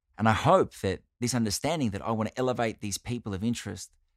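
At a very fast pace, a man with an Australian accent and a fairly low pitch talks in an animated tone with ordinary pitch variation, in a very clean recording with a silent background and a dry, close sound with no echo. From Australia, Italian-Australian family. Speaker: podcast host. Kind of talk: monologue, personal storytelling.

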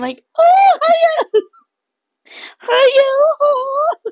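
Squeaky and pitched extremely high, this is a put-on character voice.

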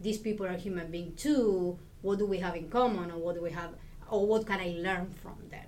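With an Argentine accent, the speaker goes at a fairly quick pace with fairly even intonation and big swings in loudness, over noticeable background noise. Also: woman, medium pitch for a woman. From Argentina. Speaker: Spanish lecturer, professor. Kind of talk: interview conversation.

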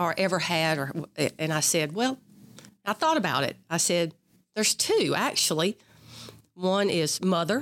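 Speaking with a Mississippi accent, a woman uses a fairly low pitch, lively intonation and very even loudness, leaving long, frequent pauses. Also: moderate pace. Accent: Southern US (Mississippi). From US South, south Mississippi (Perry County). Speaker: retired army colonel and veterans board member. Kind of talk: interview about her military career.

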